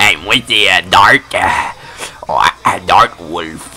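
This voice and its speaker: A man is speaking. Music plays in the background. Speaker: online game player. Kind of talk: casual chat. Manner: hesitant, many fillers.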